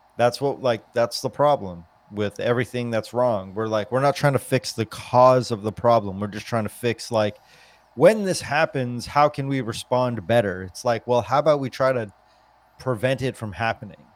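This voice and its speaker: Using a normal speaking voice, a man with an American accent talks at a moderate pace, with medium pitch and ordinary pitch variation, in a dry, close sound with no echo. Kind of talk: casual chat.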